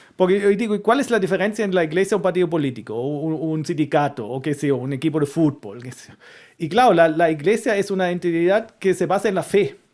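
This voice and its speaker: With a German accent and lively intonation, a man talks at a high pitch and a very fast pace in a very clean recording with a silent background. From Germany. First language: German (speaking Spanish). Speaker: historian and university lecturer. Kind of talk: interview conversation. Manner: halting, with frequent repetitions.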